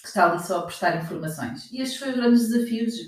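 This woman talks with a European Portuguese accent and ordinary pitch variation. Audible room echo and noticeable background noise surround her voice. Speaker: podcast host and health business consultant. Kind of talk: casual interview chat.

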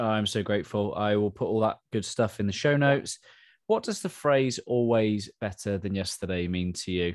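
A man with a normal speaking voice, fairly low pitch, ordinary pitch variation and a moderate pace over a quiet background. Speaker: podcast host. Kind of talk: casual interview conversation.

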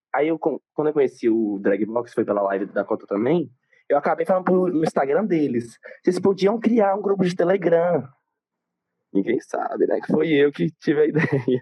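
A man's fairly high voice at a moderate pace, with very wide pitch swings and very even loudness. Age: young. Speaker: student and aspiring influencer. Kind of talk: casual chat.

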